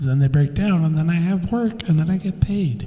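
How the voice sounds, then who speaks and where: A man mumbles his words. His intonation is lively. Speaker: podcast host. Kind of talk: casual chat. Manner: mumbling. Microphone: echo from new recording software.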